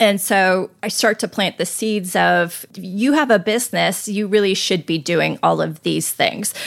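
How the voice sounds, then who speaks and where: A woman with an American accent and vocal fry speaks fairly slowly at medium pitch with ordinary pitch variation and hardly any pauses, in a very clean recording with a silent background. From northern US. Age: 50s. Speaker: portrait photographer. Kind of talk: interview.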